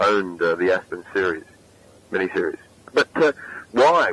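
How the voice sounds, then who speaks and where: A man at a fairly quick pace, the sound dry and close with no echo, and noticeable background noise behind him. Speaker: film interviewer. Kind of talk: interview question.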